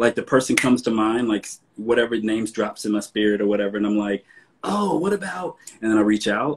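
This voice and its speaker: With an American accent, a man talks at a very fast pace in a fairly low pitch with ordinary pitch variation. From US South. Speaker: fashion host. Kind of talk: casual chat. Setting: video call. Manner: animated. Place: home room. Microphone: video call.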